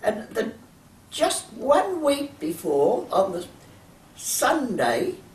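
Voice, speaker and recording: With an Australian accent, a woman speaks at a very slow pace and a high pitch, with very wide pitch swings, long, frequent pauses and noticeable background noise. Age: 80s+. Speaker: champion masters swimmer. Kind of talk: interview. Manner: halting.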